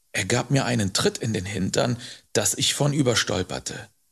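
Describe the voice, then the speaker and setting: A man speaks with vocal fry and very wide pitch swings. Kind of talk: audiobook narration, bedtime story telling. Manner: calm, warm storyteller pace, slow and expressive.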